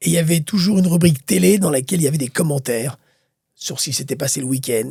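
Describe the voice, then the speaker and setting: Very fast and lively in intonation, a man talks with a dark, mellow, somewhat breathy tone. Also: fairly high pitch for a man. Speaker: boxing commentator. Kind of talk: interview. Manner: animated.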